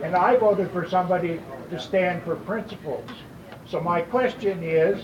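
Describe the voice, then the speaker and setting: The speaker has an American accent, with ordinary pitch variation and a moderate pace. Audible room echo and noticeable background noise are present. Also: man, high pitch for a man. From Colorado, Loveland. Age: 70s. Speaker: audience member asking question. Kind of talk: public question at town hall. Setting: town hall meeting with audience.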